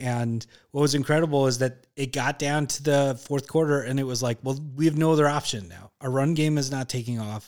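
A man with a fairly high pitch speaks in a normal speaking voice at a fairly quick pace, with fairly even intonation and hardly any pauses, in a very clean recording with a silent background. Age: 40s. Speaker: comedian and TV writer. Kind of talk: casual chat. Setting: studio.

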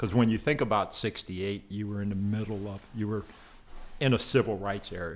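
A man talks at a fairly quick pace in a normal speaking voice. His pitch is fairly low and his intonation fairly even. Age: 50s. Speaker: podcast guest. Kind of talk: casual chat.

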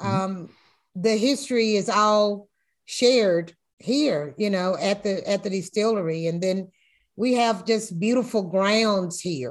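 In an American accent, a woman talks at a fairly slow pace and medium pitch with ordinary pitch variation, over a quiet background. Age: 60s. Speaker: master whiskey blender. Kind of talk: interview. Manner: halting.

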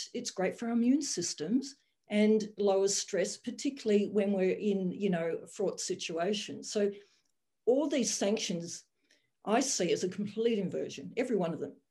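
A woman talks at a moderate pace in a medium pitch, somewhat breathy, with ordinary pitch variation. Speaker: general practitioner. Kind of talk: roundtable discussion.

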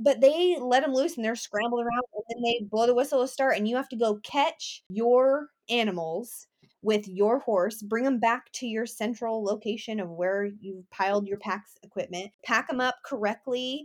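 A woman's unremarkable speaking voice, fairly high in pitch, with an American accent, ordinary pitch variation, a moderate pace and hardly any pauses, in a very clean recording with a silent background. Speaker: rodeo pageant titleholder. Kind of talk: casual interview.

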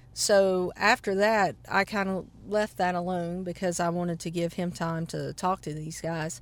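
With a Southern US accent and a fairly low pitch, a woman speaks at a fairly slow pace with hardly any pauses and fairly even intonation on a very clean recording with a silent background. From South Carolina. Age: 40s. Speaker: banjo player. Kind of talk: interview. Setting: outdoors.

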